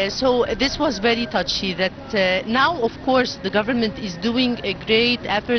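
A woman with an Arabic accent, fairly high in pitch, with ordinary pitch variation and a fairly slow pace, dry with no echo, over noticeable background noise. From Egypt. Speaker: engineer and NGO board member. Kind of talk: interview. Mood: earnest, committed. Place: boat. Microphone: handheld.

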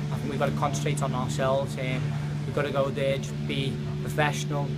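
A man speaks at a fairly quick pace while loud background noise plays around him. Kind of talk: interview answer. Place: hall.

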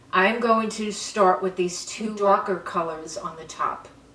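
A woman at a fairly slow pace with ordinary pitch variation, in audible room echo. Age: 70s. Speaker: beauty vlogger. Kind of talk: makeup tutorial. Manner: animated. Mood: delighted, enthusiastic.

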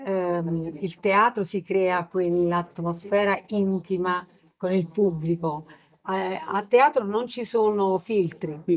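A woman with a medium pitch speaks very slowly. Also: ordinary pitch variation. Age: middle-aged. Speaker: singer. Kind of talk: interview. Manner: soft-spoken.

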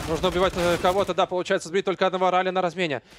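Animated in tone, a man speaks with a high pitch. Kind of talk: live esports commentary. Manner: fast, animated play-by-play; analytical, reacts with exclamations.

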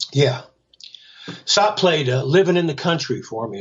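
An American accent carries this man's somewhat breathy voice with lively intonation. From Central Florida. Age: 70s. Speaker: rock guitarist and songwriter. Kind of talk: casual interview chat.

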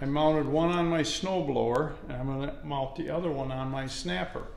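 With light background noise and audible room echo, a man talks at a moderate pace. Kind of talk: casual tutorial vlog. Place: garage. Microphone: phone near.

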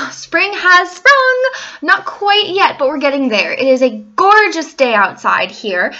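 Her voice raised and projected, a woman speaks at a fairly slow pace with very wide pitch swings. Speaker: vlogger. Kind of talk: casual vlog chat. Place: home room. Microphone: webcam.

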